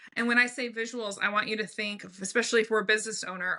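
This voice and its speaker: Loud and bright with a sharp tone, a woman speaks at a fairly high pitch in a quiet background. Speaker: brand strategist, business owner. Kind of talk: podcast interview. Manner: animated.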